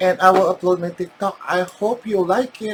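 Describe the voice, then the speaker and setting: Very slowly, a woman with a Filipino accent speaks with ordinary pitch variation. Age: 40s. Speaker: makeup vlogger. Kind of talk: casual vlog talk mixing Tagalog and English. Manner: animated.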